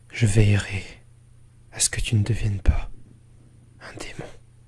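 A man uses a put-on character voice, raspy and fairly low. His tone is solemn and his pace moderate. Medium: short film. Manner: solemn, melancholic, reflective.

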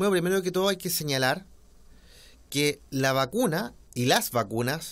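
This man speaks at a moderate pace in a fairly high pitch, with lively intonation. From Chile. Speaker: politician; interviewee. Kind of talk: interview. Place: home room. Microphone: studio mic.

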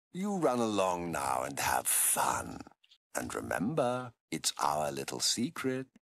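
Putting on a character voice, a man speaks fairly slowly with a very deep, low pitch and very wide pitch swings. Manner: silky, menacing, sarcastic.

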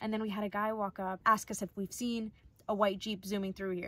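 The sound is dry, with no echo. A woman talks at a fairly quick pace with fairly even intonation. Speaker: van life vlogger. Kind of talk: casual vlog chat. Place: home room. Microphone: phone near.

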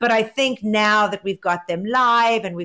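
Speaking at a moderate pace with ordinary pitch variation, a woman is heard against a quiet background. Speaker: remote podcast co-host. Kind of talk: news commentary chat. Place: home room. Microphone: earbuds.

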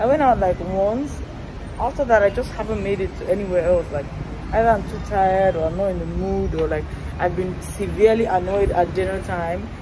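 A woman's fairly quick pace amid noticeable background noise. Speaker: travel vlogger. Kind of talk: casual vlog chat. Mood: relaxed, chatty. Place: street. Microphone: phone near.

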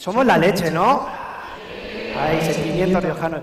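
There is audible room echo around a man whose pitch varies in an ordinary way. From La Rioja, Spain. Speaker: comedian. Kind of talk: stand-up comedy monologue. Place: stage. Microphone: headset.

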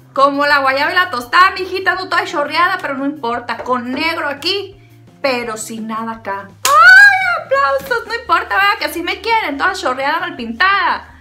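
A woman with a high voice speaks at a fairly slow pace in a raised, projected, playful tone, her pitch swinging very widely over clear background music. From Sinaloa, Mexico. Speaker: beauty vlogger. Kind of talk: casual comedic talk to camera. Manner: playful, chatty. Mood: playful, self-mocking humor. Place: home room.

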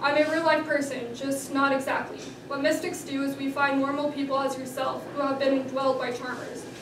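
Noticeable background noise and audible room echo around a fairly quick delivery. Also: woman. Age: young. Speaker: author. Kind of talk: reading aloud. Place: hall. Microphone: camera far.

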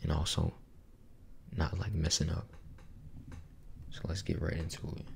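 Speaking at a moderate pace with long, frequent pauses, a man is heard over light background noise. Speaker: ASMR creator. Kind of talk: casual talk to camera. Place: home room. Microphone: studio mic.

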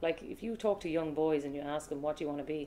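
A woman's very deep, low voice at a very fast pace. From Ireland, Cork (grew up partly in Australia); Ireland. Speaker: sports broadcaster; interviewee. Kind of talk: casual interview; interview answer. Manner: fast, lots of fillers. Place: home room.

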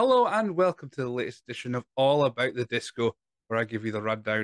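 Speaking at a very fast pace, a man is recorded with a dry sound, no echo and a quiet background. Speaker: wrestling podcast host. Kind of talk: casual podcast preview talk. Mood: upbeat, self-deprecating. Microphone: studio mic.

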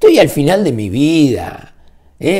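A fairly high-pitched male voice, dark and mellow, swinging very widely in pitch at a fairly slow pace over a quiet background. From Uruguay. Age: 60s. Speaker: weekly newspaper founder and political commentator; weekly newspaper founder, political commentator. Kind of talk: political rant. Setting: at home. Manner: animated. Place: home room. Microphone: phone near.

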